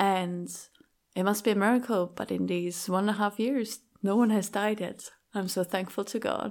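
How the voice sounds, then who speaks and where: A woman speaks with a Swiss German accent at a moderate pace, medium pitch and fairly even intonation. The recording is very clean, with a silent background. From Switzerland (Schaffhausen). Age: young. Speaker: pastor. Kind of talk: interview.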